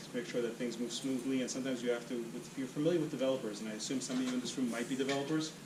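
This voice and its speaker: The speech runs at a very fast pace, with noticeable background noise and audible room echo. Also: man. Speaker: meetup speaker on agile. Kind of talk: presentation.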